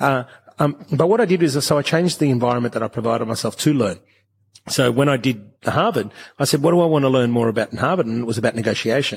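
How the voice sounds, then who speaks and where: Talking at a very fast pace, a man with an Australian accent has a medium pitch and ordinary pitch variation. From Brisbane, Australia. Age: 40s. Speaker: entrepreneur, coffee company founder. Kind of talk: interview, conversational talk.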